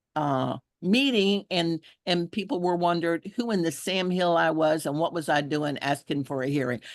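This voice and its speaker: A woman with a Texan accent, fairly low pitch, lively intonation, and a moderate pace. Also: dry, close sound with no echo, quiet background. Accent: Texas Southern. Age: 70s. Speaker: environmental activist. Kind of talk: testimony.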